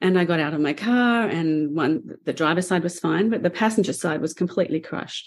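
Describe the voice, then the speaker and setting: The speech moves at a fairly quick pace with ordinary pitch variation. The recording is very clean, with a silent background. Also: woman, fairly low pitch for a woman. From Australia. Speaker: painter and author. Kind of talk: interview conversation. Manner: laughs often.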